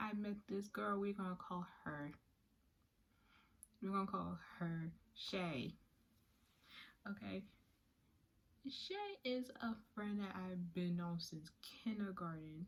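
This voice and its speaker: This woman talks at a very slow pace with long, frequent pauses. Her voice is somewhat breathy. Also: medium pitch for a woman, ordinary pitch variation. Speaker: YouTuber telling a story. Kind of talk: casual story time. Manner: halting, with pauses and repetitions.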